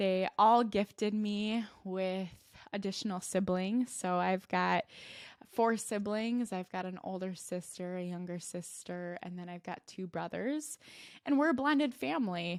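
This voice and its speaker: Over a silent background in a very clean recording, a woman speaks with a slight Minnesota accent at medium pitch. Her pace is fairly slow, her pitch varies in an ordinary way, and her loudness swings widely. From Minnesota, US. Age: 20s. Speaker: podcast host and life coach. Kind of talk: personal storytelling podcast.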